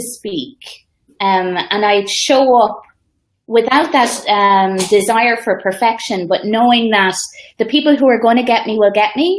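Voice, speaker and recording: With an Irish accent, a woman speaks at a fairly high pitch. The recording is very clean, with a silent background. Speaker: social media coach. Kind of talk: casual interview on live video.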